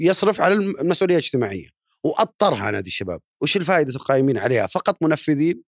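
A man talks at a fairly quick clip with a fairly high pitch, very wide pitch swings and vocal fry. The sound is dry and close, with no echo. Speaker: podcast host. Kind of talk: interview podcast.

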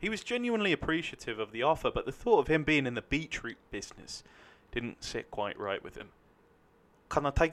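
A man with a fairly high pitch talks at a fairly quick pace, his pitch swinging very widely. Vocal fry runs through his speech. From London, England (New Southgate/Enfield). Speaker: actor. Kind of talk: casual chat; reading aloud.

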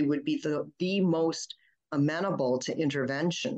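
A woman speaks in a very deep, low voice with an American accent. Her pace is moderate. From Flint, Michigan, US. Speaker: pediatrician. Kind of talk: interview. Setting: radio studio.

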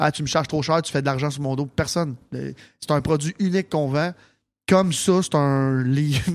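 Speaking at a moderate pace, a man uses a fairly high pitch and fairly even intonation, captured in a very clean recording with a silent background. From Quebec, Sainte-Martine. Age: 30s. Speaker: nightclub owner and entrepreneur. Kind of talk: casual chat.

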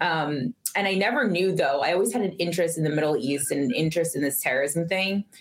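Over noticeable background noise, a woman rushes along very fast with hardly any pauses, her fairly low voice holding very even loudness and ordinary pitch variation. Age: 40s. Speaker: retired intelligence officer and professor. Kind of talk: interview storytelling.

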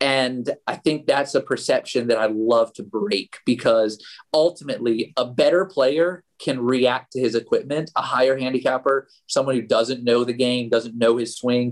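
Speaking at a moderate pace, a man of medium pitch has an ordinary speaking voice. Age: 40s. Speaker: golf equipment product manager. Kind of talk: interview.

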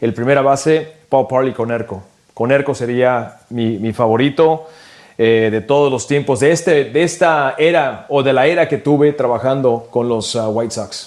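A man talks at a fairly slow pace in a medium pitch, with ordinary pitch variation. His is a plain, everyday voice. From California, Mexican-American family from Michoacán. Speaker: sports radio broadcaster. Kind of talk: casual chat.

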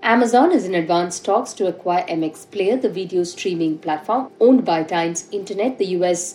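Noticeable background noise sits behind a woman talking at a fairly quick pace and medium pitch. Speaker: business news host. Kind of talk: newsreading: brisk, formal scripted headline delivery of business news. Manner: formal; steady, even-paced.

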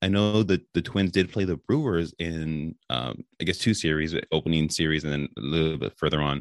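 A man with an American accent speaks at a very deep, low pitch with ordinary pitch variation and a moderate pace. The sound is dry and close with no echo, and the background is quiet. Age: 30s. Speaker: sports podcast host. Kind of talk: casual interview chat. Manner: halting, many fillers.

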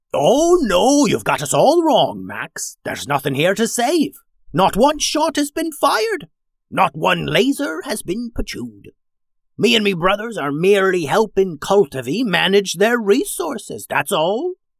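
This is a put-on character voice with a fairly high pitch. The pace is moderate. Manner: smug, oily, mocking.

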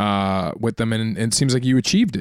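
A man with a medium-pitched voice talks at a very fast pace. The recording is very clean with a silent background and a dry, close sound with no echo. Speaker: podcast co-host. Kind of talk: casual comedy banter. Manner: joking, riffing.

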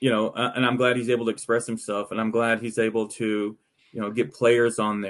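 With an American accent, a man in a normal speaking voice at medium pitch talks at a fairly quick pace. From Texas, Arlington area. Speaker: baseball journalist. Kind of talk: casual chat.

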